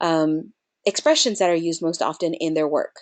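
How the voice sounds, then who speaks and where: A woman talks against a quiet background, her pitch shifting in an ordinary way. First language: Spanish. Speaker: nonprofit program director. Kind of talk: webinar presentation.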